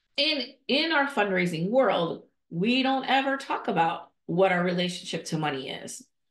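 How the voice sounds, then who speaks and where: Audible room echo surrounds a woman speaking at a moderate pace with very wide pitch swings. Otherwise the background is quiet. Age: 50s. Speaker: nonprofit leadership coach and podcast host. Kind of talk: solo podcast monologue. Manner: conversational, with frequent fillers and restarts. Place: home room. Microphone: earbuds.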